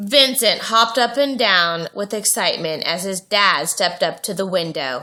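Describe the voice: This plain reading aloud carries a lively intonation.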